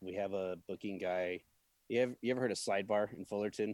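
A man with an American accent, an ordinary speaking voice, fairly low pitch, and a fairly quick pace, in a dry, close sound with no echo. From US Midwest, Peoria, Illinois. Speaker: event production manager. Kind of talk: casual interview.

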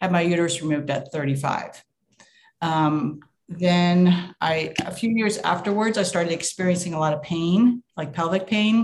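At a moderate pace, the somewhat breathy delivery shows ordinary pitch variation. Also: woman, fairly low pitch for a woman. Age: 60s. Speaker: caller to live Q&A. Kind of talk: casual chat.

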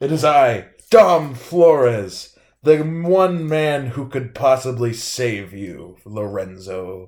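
A man does a put-on character voice at medium pitch, speaking very slowly on a very clean recording with a silent background. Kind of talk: telenovela villain. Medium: actual play. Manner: smug, theatrical.

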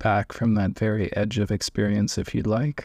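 In a normal speaking voice, a man with a fairly low pitch talks at a fairly slow pace with fairly even intonation, the sound dry and close with no echo on a very clean recording with a silent background. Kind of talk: guided meditation. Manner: slow, calm, soft-spoken with long pauses; gentle, soothing, instructional.

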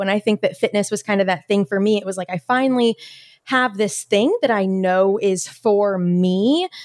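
Speaking in an ordinary speaking voice at a moderate pace, a woman with a medium pitch comes through a very clean recording with a silent background and a dry, close sound with no echo. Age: 20s. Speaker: fitness coach. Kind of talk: interview.

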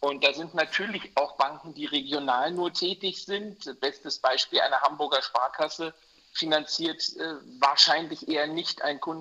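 At a moderate pace, a man with a fairly high voice speaks through noticeable background noise. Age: 50s. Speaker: mortgage broker. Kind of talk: interview. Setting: remote call from holiday in Mallorca.

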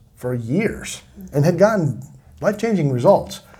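A man speaks at a fairly high pitch with very wide pitch swings and a moderate pace. His tone is dark and mellow, and somewhat breathy. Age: 50s. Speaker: podcast host, company co-founder. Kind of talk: casual interview chat.

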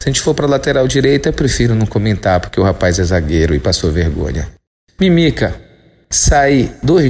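The speaker keeps a moderate pace. Their pitch swings very widely. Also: man. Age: 40s. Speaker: sports columnist. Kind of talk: opinion podcast monologue. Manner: animated.

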